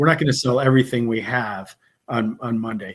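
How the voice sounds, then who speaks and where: Speaking at a moderate pace, a man with a Wisconsin accent uses a medium pitch. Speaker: bourbon course instructor. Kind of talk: interview.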